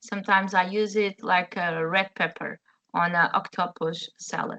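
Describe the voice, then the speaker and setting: A woman with a Portuguese accent, at a moderate pace, in a monotone, flat delivery. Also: medium pitch for a woman. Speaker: chef. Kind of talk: webinar presentation. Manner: halting, many fillers.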